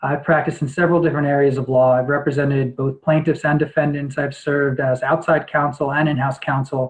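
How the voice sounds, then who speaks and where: A somewhat breathy man with an American accent, fairly high pitch, monotone, flat intonation and a very fast pace, over a quiet background. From New York. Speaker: lawyer and judicial candidate; candidate. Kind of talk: interview answers. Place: home room. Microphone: webcam.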